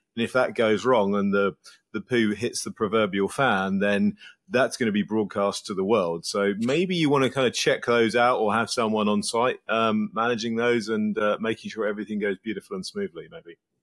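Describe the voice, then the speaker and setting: In an English accent, a man speaks at a moderate pace with ordinary pitch variation. The background is quiet. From England. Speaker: podcast guest. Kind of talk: interview answer. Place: home room. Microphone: earbuds.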